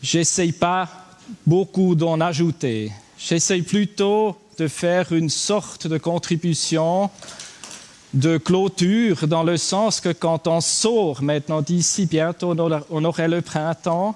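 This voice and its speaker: Speaking very slowly with a Swiss German accent, a man uses a high pitch, ordinary pitch variation and very even loudness over noticeable background noise. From German-speaking Switzerland. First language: Swiss German (speaking French). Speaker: livestock farmer, conference speaker. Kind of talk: conference talk. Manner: halting.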